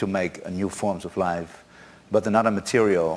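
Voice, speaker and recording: A man speaks with a Dutch accent. His pitch sits fairly low. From Netherlands. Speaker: conference speaker. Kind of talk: conference talk. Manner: halting.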